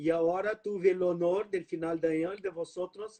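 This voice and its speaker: A man with a Brazilian accent speaks at a high pitch. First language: Portuguese (speaking Spanish). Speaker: law professor. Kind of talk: lecture.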